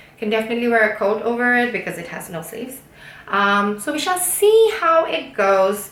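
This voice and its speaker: A woman with a high pitch speaks at a moderate pace amid noticeable background noise and audible room echo. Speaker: knitting YouTuber. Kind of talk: casual monologue, craft review.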